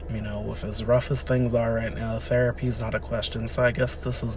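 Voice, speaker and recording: With noticeable background noise behind him, a man speaks at a fairly quick pace in an American accent. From Delaware, US East Coast. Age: 20s. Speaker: podcaster. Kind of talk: personal monologue. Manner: hesitant, many fillers.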